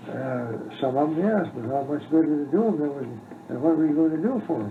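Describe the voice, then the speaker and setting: Noticeable background noise behind a man at a moderate pace, his pitch fairly high. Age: 80s+. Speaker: retired doctor. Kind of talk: interview answer. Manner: hesitant, halting.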